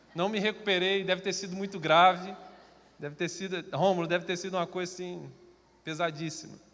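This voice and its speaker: The man's voice sits high in pitch. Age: 30s. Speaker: preacher. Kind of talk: sermon. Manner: slow; understated, not lively.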